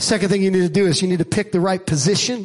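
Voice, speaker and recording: An animated man with an American accent, high in pitch, with ordinary pitch variation. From Staten Island, New York. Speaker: preacher. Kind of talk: sermon. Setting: church with live congregation. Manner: animated, rallying call-and-response delivery; emphatic, loud, urging the congregation to shout.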